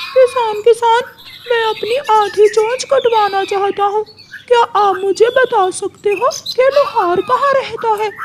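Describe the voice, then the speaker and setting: A cartoonish character voice speaks at an extremely high pitch and a fairly slow pace. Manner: defensive, quick to anger.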